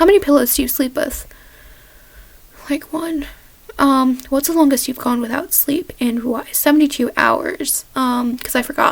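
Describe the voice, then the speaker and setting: A woman with a high-pitched voice talks at a moderate speed, her pitch varying in an ordinary way. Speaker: vlogger. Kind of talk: casual Q&A vlog. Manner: halting. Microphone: poor sound quality.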